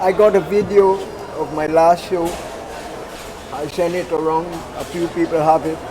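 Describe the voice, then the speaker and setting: In a Guyanese accent, a man speaks at a high pitch with monotone, flat intonation and long, frequent pauses. Audible room echo and noticeable background noise are present. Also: moderate pace. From Guyana, Georgetown. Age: 70s. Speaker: singer and poet. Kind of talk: casual chat. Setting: outdoor market.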